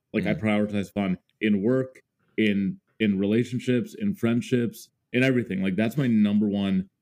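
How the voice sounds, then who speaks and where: A man with an American accent speaks in a dark, mellow tone with fairly even intonation. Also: fairly low pitch for a man, moderate pace. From Minnesota, US Upper Midwest (Mendota Heights suburb). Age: 30s. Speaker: music creator. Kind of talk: casual interview chat.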